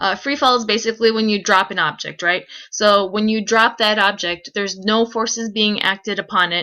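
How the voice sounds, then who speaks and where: A woman speaks loud at a fairly quick pace, with a bright, sharp tone and medium pitch. Her intonation is fairly even in a very clean recording with a silent background. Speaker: physics teacher. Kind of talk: recorded lecture. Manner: fast.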